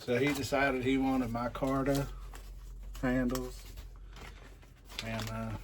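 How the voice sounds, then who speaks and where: A man speaks at a fairly slow pace, with long, frequent pauses. Audible room echo surrounds his voice. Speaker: knife maker. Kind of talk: workshop tutorial. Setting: workshop. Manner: loud; casual, many fillers.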